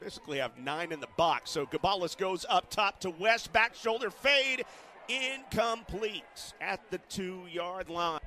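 A man speaks at a fairly slow pace in a high, raised, projected voice with an excited tone and lively intonation. The sound is dry and close, with no echo. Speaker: play-by-play announcer. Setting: broadcast booth. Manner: rises to excited disbelief on big plays.

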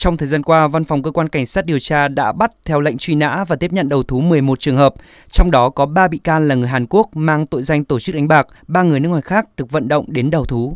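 Speaking at a very fast pace with hardly any pauses, a man uses a fairly high pitch and ordinary pitch variation on a very clean recording with a silent background. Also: dry, close sound with no echo. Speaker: news reader. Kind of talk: news reading. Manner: formal.

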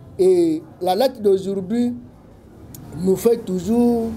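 Light background noise accompanies a man with a high pitch. His tone is dark and mellow, with ordinary pitch variation. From DR Congo. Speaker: political analyst. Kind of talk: talk show interview. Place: office.

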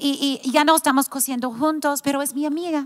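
In an American accent, a woman speaks at a high pitch with fairly even intonation against a quiet background. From United States. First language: English (speaking Spanish). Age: 50s. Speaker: pastor's wife and church founder; pastor's wife. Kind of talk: casual chat. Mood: warm, reflective. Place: studio. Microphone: handheld.

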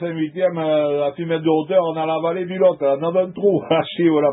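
At a moderate pace, a man speaks with a fairly high pitch and fairly even intonation.

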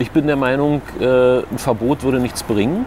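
Noticeable background noise sits behind a man who talks at a moderate pace, with a dry sound and no echo. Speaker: local politician. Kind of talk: interview answer. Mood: calm, earnest. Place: street. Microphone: lapel.

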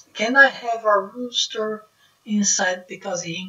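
With a Brazilian Portuguese accent, a woman speaks in fairly even intonation amid audible room echo. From Northeast Brazil (Maceió, Alagoas); Northeast Brazil. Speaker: YouTuber; vlogger explaining property law. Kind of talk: casual talk to camera, explainer. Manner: halting, non-native phrasing.

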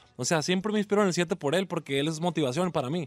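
A man speaks at a high pitch with ordinary pitch variation. The sound is dry, with no echo. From Mexico, Culiacán, Sinaloa; Sinaloa, Mexico. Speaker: regional Mexican music artist. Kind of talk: radio interview. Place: studio.

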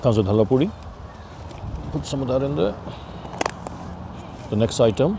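A man's dark, mellow voice at medium pitch, with big pitch swings, vocal fry, a moderate pace and faint background noise

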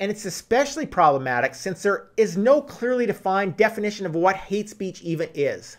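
A man talks at a fairly quick pace with hardly any pauses. His tone is animated, and the background is quiet. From Canada. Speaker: political commentary YouTuber. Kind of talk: scripted monologue. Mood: indignant, sarcastic. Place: home room.

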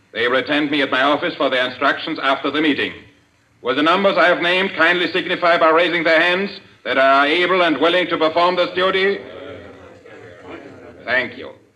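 A man talks at a fairly quick pace with ordinary pitch variation. Light background noise is present. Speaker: radio drama actor voicing a villain. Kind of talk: dramatic speech in a radio play. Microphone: old recording.

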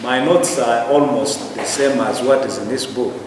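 Noticeable background noise and audible room echo surround a man speaking. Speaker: lecturer. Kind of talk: lecture. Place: classroom. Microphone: camera far.

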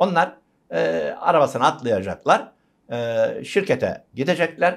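Using vocal fry and very wide pitch swings, a man with a fairly high voice speaks at a moderate pace against a quiet background. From rural Turkey. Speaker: university lecturer. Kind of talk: interview. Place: studio.

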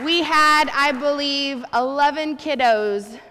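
The pitch of this voice varies in an ordinary way. It belongs to a woman. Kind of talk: church announcements. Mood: warm, grateful. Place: church.

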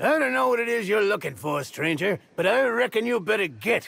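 Putting on a gruff character voice, a man projects loudly at a high pitch with very wide pitch swings and a moderate pace. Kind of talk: folksy frontier speech. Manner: gruff, suspicious.

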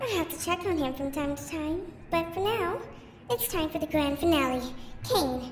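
A woman speaks at a moderate pace with ordinary pitch variation. Clear background noise and a slight echo are audible. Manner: chirpy, scheming, falsely caring.

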